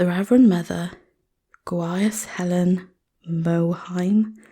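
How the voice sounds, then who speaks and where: Soft-spoken whispering on a very clean recording with a silent background. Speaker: ASMR reader. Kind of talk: audiobook-style reading of novel text. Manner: soft-spoken, relaxing, whispery.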